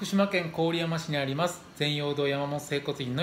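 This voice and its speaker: Light background noise and audible room echo around a man talking at a moderate pace. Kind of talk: tutorial. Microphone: phone near.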